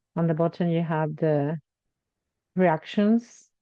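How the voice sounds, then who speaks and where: A woman speaks with a Spanish accent in a fairly low voice. Her intonation stays fairly even. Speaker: online event facilitator. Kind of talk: event facilitation. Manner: halting.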